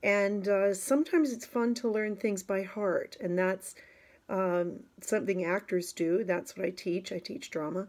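Over a quiet background, a woman talks at a medium pitch and a fairly slow pace, with ordinary pitch variation. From Canada. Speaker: actress and drama teacher. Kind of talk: casual talk to camera. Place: home room. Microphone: phone near.

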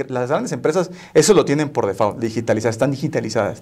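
Against a quiet background, the speech runs at a very fast pace. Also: man. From Mexico, Tampico, Tamaulipas; Tamaulipas, Mexico. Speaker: software company operations director; guest. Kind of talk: interview. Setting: studio. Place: studio. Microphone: lapel.

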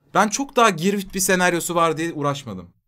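Against a quiet background, a man with a high pitch and a bright, sharp tone talks at a moderate pace. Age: 30s. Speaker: streamer. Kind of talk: casual chat. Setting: live stream. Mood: joking, relaxed. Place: home room.

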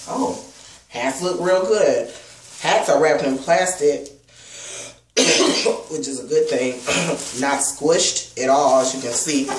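Speaking at a very slow pace with long, frequent pauses, a man with a fairly high pitch and ordinary pitch variation is heard over noticeable background noise. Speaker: product reviewer. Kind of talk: unboxing review. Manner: subdued. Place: home room. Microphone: webcam.

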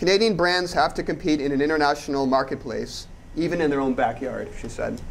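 A man talks in a normal speaking voice at a fairly quick pace and a fairly high pitch, with ordinary pitch variation. Light background noise can be heard. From Canada. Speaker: economic commentator. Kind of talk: interview. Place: studio.

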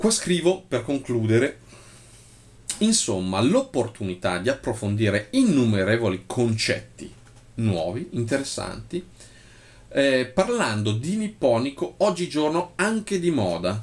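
Speaking at a fairly slow pace, a man pauses long and often while his pitch swings very widely. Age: 40s. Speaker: bonsai professional. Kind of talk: video monologue reading own post. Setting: office. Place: home room. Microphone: phone near.

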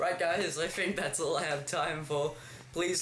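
A man with an Australian accent, fairly slow pace and ordinary pitch variation, with audible room echo and light background noise. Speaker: gaming YouTuber. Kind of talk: gameplay commentary. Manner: animated, frequent laughter. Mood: amused, relaxed. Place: home room.

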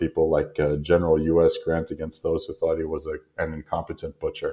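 A man talks at a moderate pace in a very deep, low pitch with monotone, flat intonation. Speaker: podcast host. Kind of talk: solo lecture monologue. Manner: frequent filler hesitations.

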